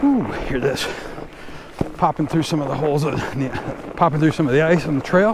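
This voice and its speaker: A man with a fairly high pitch and ordinary pitch variation at a fairly quick pace, with long, frequent pauses and noticeable background noise. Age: 60s. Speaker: fat bike vlogger. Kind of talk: casual vlog narration while riding. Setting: outdoors on snowy bike trail.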